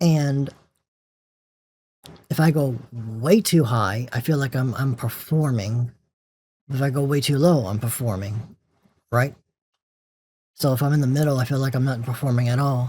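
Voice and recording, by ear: Somewhat breathy and dark, mellow in tone, a man speaks at a moderate pace with long, frequent pauses. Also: medium pitch for a man, ordinary pitch variation.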